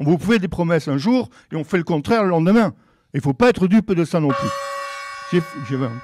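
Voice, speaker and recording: A man's high-pitched voice with lively intonation, at a fairly quick pace with long, frequent pauses. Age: 70s. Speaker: election candidate. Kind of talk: political debate. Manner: halting.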